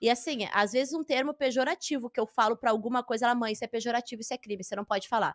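A woman speaks very fast in a high pitch with a slight gaúcho accent. The sound is dry and close, with no echo. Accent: slight southern Brazilian (gaúcho). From Rio Grande do Sul, southern Brazil. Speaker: stand-up comedian. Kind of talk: casual interview chat.

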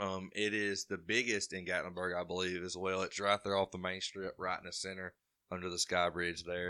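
Speaking at a fairly quick pace with an Alabama accent, a man has a very deep, low pitch, a bright, sharp tone, and fairly even intonation on a very clean recording with a silent background. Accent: Southern US (Alabama). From Alabama (Carbondale). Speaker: moonshiner, distilling competition winner. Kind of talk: casual interview chat.

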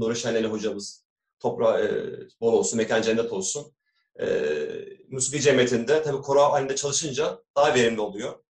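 A man's medium-pitched, somewhat breathy voice at a fairly quick pace, with fairly even intonation. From Istanbul, Turkey. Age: 40s. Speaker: doctor and amateur kanun player. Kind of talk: interview.

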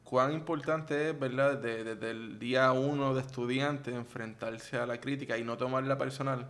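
At a moderate pace with hardly any pauses, a man speaks at a medium pitch in a monotone, flat way. Audible room echo surrounds his voice. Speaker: podcast host. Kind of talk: interview.

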